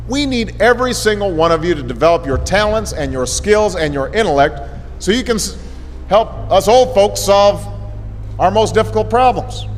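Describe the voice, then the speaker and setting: A man with an American accent speaks at a moderate pace. Noticeable background noise is present. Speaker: former U.S. president giving a speech. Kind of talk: motivational speech to students.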